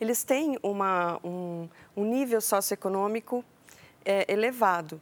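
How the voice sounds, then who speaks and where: On a very clean recording with a silent background, a woman with a medium pitch and ordinary pitch variation speaks at a fairly slow pace. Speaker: agricultural researcher. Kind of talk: interview. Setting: studio. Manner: calm, soft.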